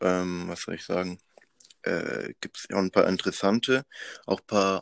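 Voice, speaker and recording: His pitch sits fairly low for a man. He talks at a moderate pace. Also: dry, close sound with no echo, very clean recording, silent background. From Madagascar. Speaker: student activist. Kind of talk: casual interview.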